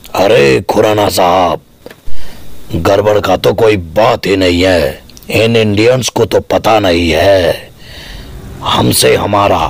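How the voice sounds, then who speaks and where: This man talks at a fairly slow pace in a fairly low pitch, with long, frequent pauses. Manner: menacing, zealous.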